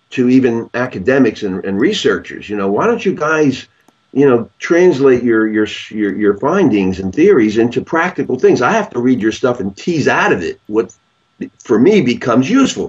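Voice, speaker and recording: Speaking at a moderate pace, a man with a medium-pitched voice makes very wide pitch swings. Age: 70s. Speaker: clinical psychologist. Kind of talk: interview. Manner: halting, with many repetitions.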